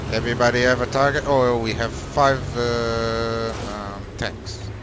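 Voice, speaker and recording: A man with a medium-pitched voice talks at a fairly slow pace in a flat monotone. Audible room echo and noticeable background noise surround him. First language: not English. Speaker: gaming clan trainer. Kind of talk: game training session. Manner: halting.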